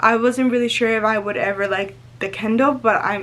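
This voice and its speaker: A woman with a Spanish accent speaks at a moderate pace and medium pitch, her intonation lively over noticeable background noise. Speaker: lifestyle vlogger. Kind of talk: casual chat to camera. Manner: excited, sometimes not fully pronouncing words; halting with fillers.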